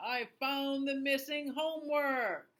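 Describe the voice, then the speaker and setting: In a put-on character voice with a high pitch, the speaker goes at a fairly slow pace. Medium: read story. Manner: upbeat, fond.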